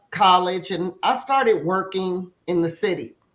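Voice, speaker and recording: Speaking fairly slowly, a woman has an American accent. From US West Coast, South Central Los Angeles. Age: 60s. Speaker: entrepreneur. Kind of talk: interview. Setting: live online show.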